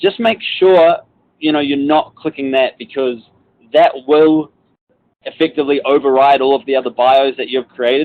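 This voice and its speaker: Speaking with a New Zealand accent, a man uses a fairly high pitch, ordinary pitch variation, and a moderate pace. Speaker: corporate trainer. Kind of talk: webinar tutorial. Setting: outdoors on a balcony, online webinar. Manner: casual, filler-heavy.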